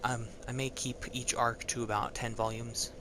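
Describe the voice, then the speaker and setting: Noticeable background noise sits under a man's medium-pitched voice. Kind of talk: reading fantasy excerpt aloud, interspersed with asides. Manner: hesitant, stuttering, many filler words.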